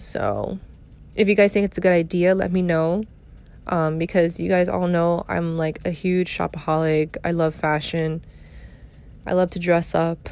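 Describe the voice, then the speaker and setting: This woman speaks in a New York accent at a fairly low pitch. Her intonation is monotone and flat, over a quiet background. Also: moderate pace. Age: 30s. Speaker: podcast host. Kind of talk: casual chat.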